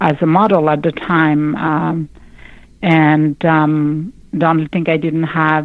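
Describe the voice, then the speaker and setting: A woman's very deep, low pitch at a fairly slow pace. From Cape Verde. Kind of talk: interview. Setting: radio show. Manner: halting, many fillers.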